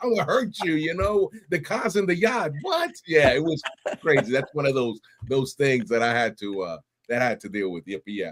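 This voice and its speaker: A fairly high-pitched man with a New York accent, moderate pace, and very wide pitch swings. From New York City (Bronx and Brooklyn). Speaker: Army veteran and podcast host. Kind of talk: interview conversation. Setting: live stream. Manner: animated.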